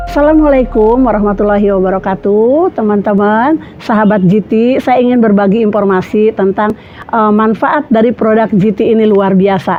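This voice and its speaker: A woman with a fairly high pitch and ordinary pitch variation speaks at a moderate pace over noticeable background noise. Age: 60s. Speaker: customer giving product testimonial. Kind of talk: testimonial.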